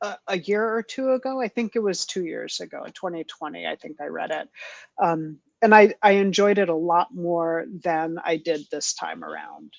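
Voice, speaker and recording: A woman with an ordinary speaking voice talks at a moderate pace and fairly low pitch, her intonation lively and her loudness swinging widely. The sound is dry and close with no echo over a quiet background. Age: 50s. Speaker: book podcast host. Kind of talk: casual chat.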